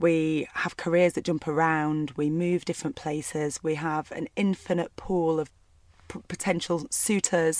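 On a very clean recording with a silent background and a dry, close sound with no echo, a woman with a Lancashire accent talks at a fairly slow pace with fairly even intonation. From northwest England, Burnley. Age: 30s. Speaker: doctor. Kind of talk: casual chat.

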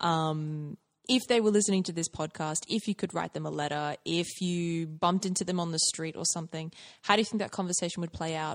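Fairly quick and fairly low-pitched, a woman with an unremarkable speaking voice keeps fairly even intonation in a dry, close sound with no echo over a quiet background. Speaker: podcast host. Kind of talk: casual interview.

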